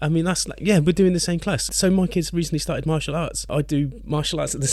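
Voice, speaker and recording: A man talking at a very fast pace. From England. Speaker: podcast co-host and musician. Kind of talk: casual chat.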